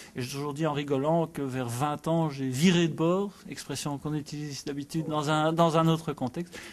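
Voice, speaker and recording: Delivered at a moderate pace with hardly any pauses. The intonation stays fairly even over a quiet background. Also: man, fairly high pitch for a man. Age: 40s. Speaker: spelling competition enthusiast. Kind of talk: interview. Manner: halting.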